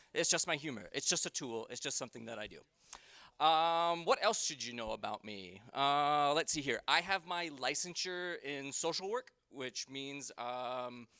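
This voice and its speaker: On a very clean recording with a silent background, a man speaks at a moderate pace in a bright, sharp tone. His pitch is fairly high for a man, with lively intonation and big swings in loudness. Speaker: conference presenter, employment consultant. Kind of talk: conference presentation. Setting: conference room with audience. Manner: casual with many fillers.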